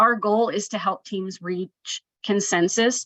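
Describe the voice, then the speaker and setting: A woman speaks in a bright, sharp tone with fairly even intonation. The sound is dry and close, with no echo. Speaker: special education facilitator. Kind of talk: webinar presentation. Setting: online webinar. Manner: fast.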